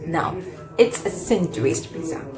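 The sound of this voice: Over clear background noise, a woman speaks low for a woman with lively intonation. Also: fairly slow pace.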